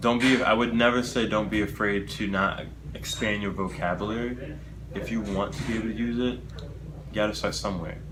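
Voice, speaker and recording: A man with an American accent, lively intonation and a fairly quick pace, amid noticeable background noise and audible room echo. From United States. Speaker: public speaking club president. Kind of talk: interview.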